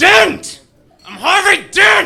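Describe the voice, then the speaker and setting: A put-on character voice, shouting. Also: man. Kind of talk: stand-up roast comedy. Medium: stage play. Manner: sardonic, insulting.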